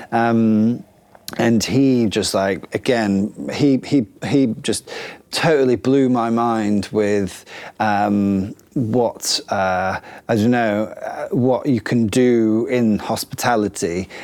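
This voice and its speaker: A man with a northern English accent talks at a very slow pace in a medium pitch, with ordinary pitch variation. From northern England. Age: 30s. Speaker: chef and restaurant owner. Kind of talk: interview. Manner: hesitant, many fillers.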